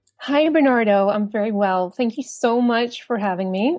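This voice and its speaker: Using a New York accent, a woman talks at a moderate pace with a fairly high pitch and ordinary pitch variation. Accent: American, New York. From US, New York. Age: 30s. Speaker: copywriter and virtual assistant. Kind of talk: casual chat.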